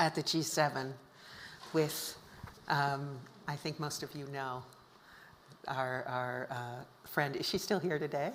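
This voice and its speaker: A woman with an American accent, speaking at a very slow pace over noticeable background noise. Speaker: documentary filmmaker and author. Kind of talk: panel talk presenting photos.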